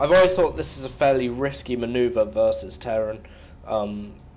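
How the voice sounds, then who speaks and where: In a room with audible echo and noticeable background noise, a man with a British accent talks at a moderate pace and medium pitch. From Britain. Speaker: esports commentator. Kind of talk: live game commentary.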